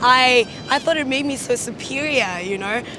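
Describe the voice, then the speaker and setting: A woman with a South African accent, high-pitched and raising her voice to project it, speaking at a fairly slow pace over noticeable background noise. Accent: anglicised South African English, rolled R's. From South Africa, Cape Town. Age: young. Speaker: interviewee. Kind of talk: documentary interview. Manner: halting.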